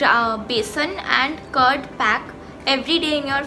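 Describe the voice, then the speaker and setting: A woman's raised, projected voice keeps a moderate pace and fairly even intonation over clear music in the background. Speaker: beauty vlogger. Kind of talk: tutorial. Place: home room. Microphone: phone near.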